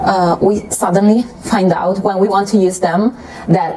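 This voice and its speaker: With an Italian accent, a woman speaks at a medium pitch and moderate pace amid noticeable background noise. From Italy. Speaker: beauty YouTuber. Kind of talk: casual vlog explanation. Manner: hesitant, with fillers.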